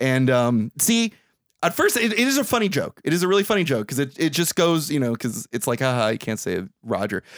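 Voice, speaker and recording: This man has an animated tone and a fairly high pitch. He talks at a fairly quick pace, with very wide pitch swings. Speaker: podcast host. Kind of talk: casual comedic chat. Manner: jokey, animated.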